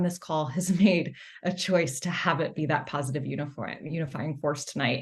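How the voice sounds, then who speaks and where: Against a quiet background, a woman talks at a fairly quick pace. Her voice is somewhat breathy. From US South, Atlanta. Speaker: political organization founder. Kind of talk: opening remarks at online event.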